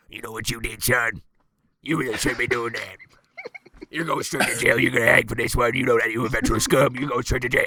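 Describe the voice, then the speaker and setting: A man does a put-on character voice at a medium pitch. His pace is fairly quick. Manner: aggressive, scolding, gruff.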